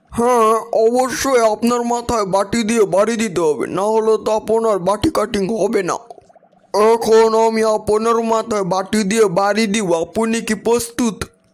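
In a cartoonish character voice, a man speaks at a high pitch with fairly even intonation. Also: moderate pace. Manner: polite, matter-of-fact.

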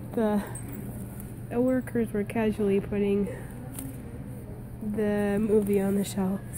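A whiny voice comes through over noticeable background noise. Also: woman. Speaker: stay-at-home mom vlogger. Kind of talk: casual vlog talk to camera. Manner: somewhat whiny.

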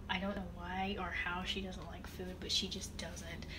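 A woman talks fairly slowly, with noticeable background noise around her. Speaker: vlogger. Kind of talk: casual vlog chat. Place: kitchen. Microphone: phone near.

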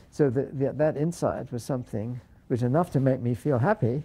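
The man's voice is somewhat breathy with a dark, mellow tone. He speaks at a moderate pace. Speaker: interviewee. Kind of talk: interview answer. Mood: reflective, gently animated.

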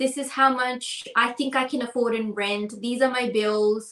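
In a New Zealand accent, a woman speaks at a high pitch and a fairly slow pace. Her intonation is monotone and flat, with audible room echo. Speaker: podcast co-host. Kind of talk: casual chat. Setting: video call. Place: home room.

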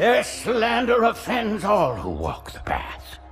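A man does a put-on character voice, high-pitched with a fairly bright tone, very wide pitch swings and vocal fry. He goes at a slow pace while faint music plays in the background.

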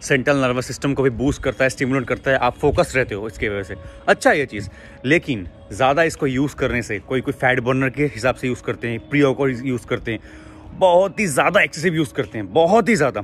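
Over faint music in the background, a man speaks at a moderate pace with a dry sound and no echo. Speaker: fitness content creator. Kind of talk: casual advice talk to camera. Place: street. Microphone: phone near.

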